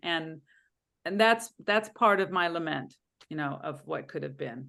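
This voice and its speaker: Vocal fry from a woman, with very wide pitch swings. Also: quiet background. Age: 60s. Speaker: spiritual session participant. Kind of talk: casual chat. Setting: video call.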